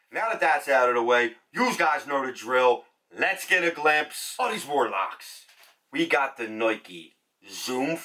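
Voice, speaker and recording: With a Philadelphia accent, a man speaks at a fairly slow pace in a fairly high pitch, his intonation lively. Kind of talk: casual.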